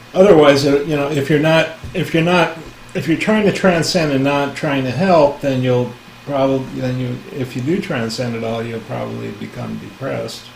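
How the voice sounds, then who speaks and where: Recorded with audible room echo and noticeable background noise, a man speaks at a moderate pace with a fairly high pitch and ordinary pitch variation. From US West Coast (San Francisco Bay Area). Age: 60s. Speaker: spiritual teacher. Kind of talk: casual talk. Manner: halting, many fillers.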